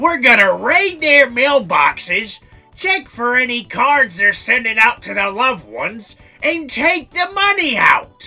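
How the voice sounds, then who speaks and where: A man uses a put-on character voice pitched extremely high, raised and projected. He speaks at a fairly slow pace while faint music plays in the background. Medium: audio drama.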